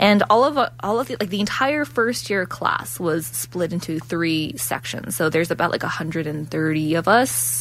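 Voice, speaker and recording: A woman with a Canadian accent speaks at a fairly low pitch, with very wide pitch swings and hardly any pauses, over noticeable background noise. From Ontario, Canada. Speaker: law student radio co-host. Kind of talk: live radio chat. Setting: radio studio.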